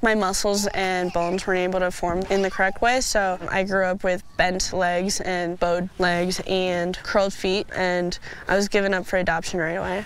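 With an American accent, a woman talks at a moderate pace and medium pitch. Her intonation is monotone and flat, with noticeable background noise. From United States (adopted from Russia at age two). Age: young (18). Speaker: para athlete. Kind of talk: interview.

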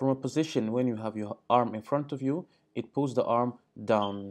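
Dark, mellow tone from a man over a quiet background. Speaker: fitness educator. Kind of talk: tutorial. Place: home room.

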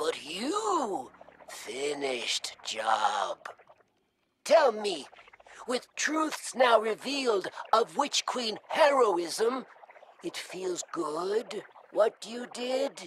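In a put-on character voice with fairly high pitch, the speaker goes at a very slow pace with long, frequent pauses. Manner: broken, halting speech.

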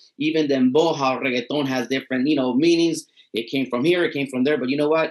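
A man talks, his pitch varying in an ordinary way. Behind him, the background stays quiet. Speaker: podcast co-host. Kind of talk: casual chat. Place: home room. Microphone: webcam.

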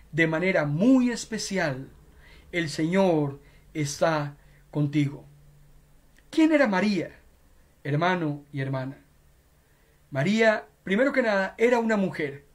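This man has a high pitch and talks at a very slow pace. He pauses often and at length. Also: lively intonation. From Costa Rica, San José; Costa Rica. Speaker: pastor. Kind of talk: sermon. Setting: web radio and Facebook Live broadcast. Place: home room. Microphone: headset.

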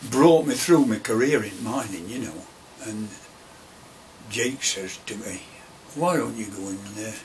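Fairly low-pitched male speech with an East Midlands accent, fairly slow, with long, frequent pauses, big swings in loudness, and light background noise. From Derbyshire / Nottinghamshire, England. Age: 80s+. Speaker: retired coal miner. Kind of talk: oral history interview answer. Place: office. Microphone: camera far.

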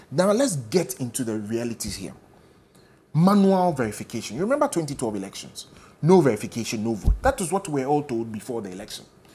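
A man with a Ghanaian accent at a very fast pace. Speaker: political party spokesperson. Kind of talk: political panel debate. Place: studio.

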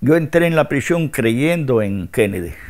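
A man at a very slow pace. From Cuba, rural Havana province. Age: 80s+. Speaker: former political prisoner. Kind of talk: interview testimony.

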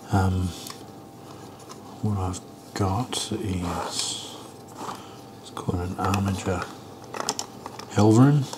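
Soft-spoken and relaxed in tone, the speaker moves at a very slow pace with long, frequent pauses. Loudness swings a lot, over noticeable background noise. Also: man, very deep, low pitch for a man. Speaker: miniature painter / ASMR creator. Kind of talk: casual talk to camera about painting models. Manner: quiet, soft-spoken, relaxed. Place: home room.

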